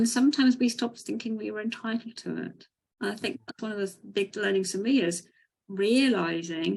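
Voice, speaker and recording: Somewhat breathy, a woman talks at a fairly quick pace with a fairly high pitch and ordinary pitch variation. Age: 60s. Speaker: coach and webinar co-host. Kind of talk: webinar talk. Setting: video call webinar.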